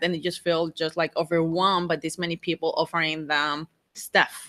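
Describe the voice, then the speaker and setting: This woman has a Mexican accent and a fairly low pitch. Her tone is bright and sharp. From Mexico. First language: Spanish. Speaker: RV travel vlogger. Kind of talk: live stream Q&A. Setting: outdoors. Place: home room. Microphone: studio mic.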